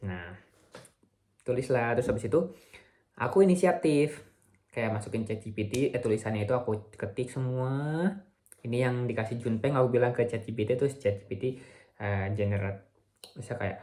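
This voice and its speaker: Fairly quick, somewhat breathy speech from a man at medium pitch, with ordinary pitch variation and long, frequent pauses. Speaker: vlogger, visiting researcher. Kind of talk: video diary vlog. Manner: halting, frequent self-corrections; casual Indonesian with English mixed in.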